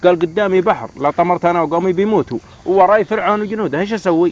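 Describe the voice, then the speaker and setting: A man speaks at a fairly quick pace with a high pitch and ordinary pitch variation. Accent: Yemeni. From Yemen. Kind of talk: casual storytelling among friends.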